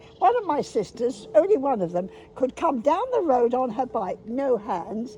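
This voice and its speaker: Her high voice swings very widely in pitch. There is noticeable background noise behind this woman. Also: moderate pace. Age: 90s. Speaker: elderly woman revisiting childhood places. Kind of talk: casual chat.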